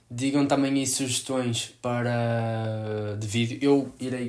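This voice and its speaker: A man speaks with a European Portuguese accent. His intonation is fairly even. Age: 20s. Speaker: sports photographer; new youtuber. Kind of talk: vlog to camera. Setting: home room. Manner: halting. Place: home room. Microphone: camera far.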